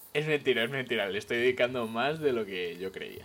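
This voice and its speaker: A man moves at a fairly quick pace in a plain, everyday voice, his intonation lively. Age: 20s. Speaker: podcast co-host. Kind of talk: casual chat. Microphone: new microphone.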